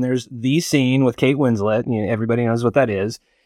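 A man with a medium pitch speaks in an American accent at a very fast pace. The recording is very clean, with a silent background. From Barstow, California. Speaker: film podcast panelist. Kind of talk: casual chat.

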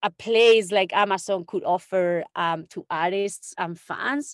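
In a Spanish accent, a woman talks at a medium pitch with ordinary pitch variation, in a dry, close sound with no echo and a quiet background. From Spain, Extremadura (Don Benito). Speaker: music industry executive. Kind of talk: interview.

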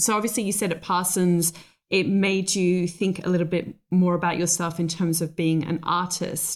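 A woman with an unremarkable speaking voice at a fairly slow pace. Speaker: podcast host and interior designer. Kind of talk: interview, conversational. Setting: recorded remotely over call.

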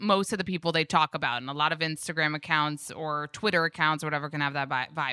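In a very clean recording with a silent background, a woman with an American accent speaks at a fairly low pitch in a bright, sharp tone. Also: dry, close sound with no echo. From New York and Israel. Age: 30s. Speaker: Instagram creator and podcaster. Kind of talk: casual chat.

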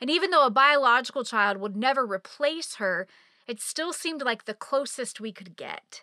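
A woman speaks in a raised, projected voice, high-pitched, with lively intonation at a moderate pace. Her tone is bright and sharp, loudness swings widely, and the sound is dry and close with no echo. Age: 40s. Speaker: faith podcast host. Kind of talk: personal storytelling monologue.

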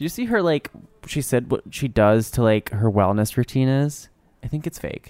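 A man with a normal speaking voice talks at a medium pitch and a moderate pace. The sound is dry and close with no echo. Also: ordinary pitch variation. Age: 20s. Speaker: podcast co-host. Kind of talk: casual chat.

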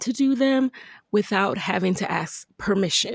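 In a normal speaking voice, a woman speaks at a fairly slow pace with fairly high pitch and lively intonation, recorded very cleanly against a silent background with a dry, close sound and no echo. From Jamaica, raised in the Bronx, New York. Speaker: entrepreneur and podcast host. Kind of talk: interview.

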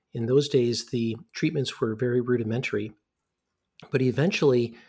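Here a man with an American accent sounds somewhat breathy at medium pitch. His pace is moderate and his intonation fairly even. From US Midwest, Ann Arbor, Michigan. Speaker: radiology professor. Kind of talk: interview.

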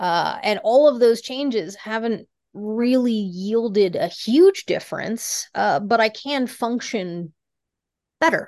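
With an American accent, a woman speaks at a very slow pace. Her fairly high pitch moves with lively intonation. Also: quiet background. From US Rocky Mountain region. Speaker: venture investor. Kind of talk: casual chat.

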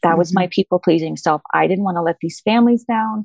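A woman with a plain, everyday voice speaks at a fairly quick pace with lively intonation, dry and close with no echo against a quiet background. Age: 40s. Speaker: former preschool owner and author. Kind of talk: casual chat.

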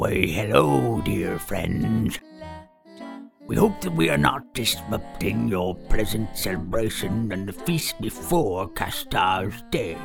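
Over clear music in the background, a low-pitched put-on character voice speaks at a fairly slow pace. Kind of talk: comic fantasy character voice. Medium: actual play. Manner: formal, courteous, theatrical.

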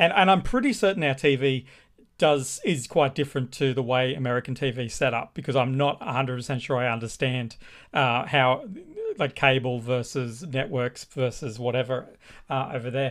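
A man speaks at a moderate pace with an Australian accent, his medium pitch showing ordinary variation. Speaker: artist and illustrator. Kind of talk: casual chat.

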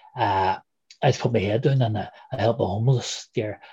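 A man speaks at a fairly quick pace with ordinary pitch variation. His tone is dark and mellow, and somewhat breathy. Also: quiet background. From Derry, Northern Ireland. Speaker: former republican prisoner, interviewee. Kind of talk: interview, recounting personal history. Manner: halting, fillers.

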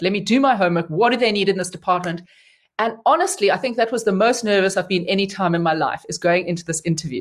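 Speech races along at a very fast pace in an animated tone with ordinary pitch variation, over a quiet background. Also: woman. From South Africa, Cape Town. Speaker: geography professor. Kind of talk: interview. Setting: studio.

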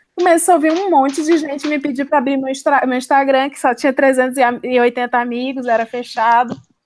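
The delivery has fairly even intonation at a moderate pace. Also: woman, high pitch for a woman. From Ceará, Brazil. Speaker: advertising copywriter. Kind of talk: casual chat.

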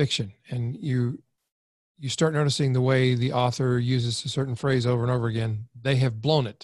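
This man has a medium pitch and a somewhat breathy voice. He talks at a fairly quick pace. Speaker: copywriting expert. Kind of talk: interview.

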